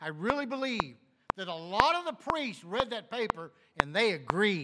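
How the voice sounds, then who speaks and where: Raised and projected, a man's voice makes very wide swings in pitch. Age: 60s. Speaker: pastor. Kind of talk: sermon.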